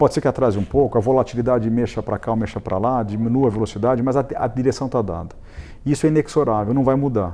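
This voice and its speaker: This man has a medium-pitched voice with a dark, mellow tone. He talks at a very fast pace with ordinary pitch variation. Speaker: real estate consultancy executive. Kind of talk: studio interview. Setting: TV studio.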